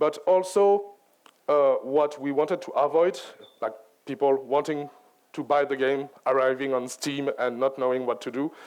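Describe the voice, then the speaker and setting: Speaking in a French accent, a man uses a fairly high pitch, ordinary pitch variation and a moderate pace. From France. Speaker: game writer and director. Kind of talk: conference talk.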